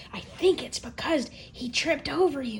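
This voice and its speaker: Clear background noise runs behind a put-on character voice moving at a moderate pace. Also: woman, high pitch for a woman. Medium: read story. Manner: helpful, chatty.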